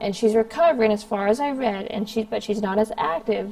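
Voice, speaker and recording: Noticeable background noise behind a woman's fairly high voice with ordinary pitch variation. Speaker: commentary YouTuber. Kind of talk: vlog monologue. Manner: hesitant, many ums.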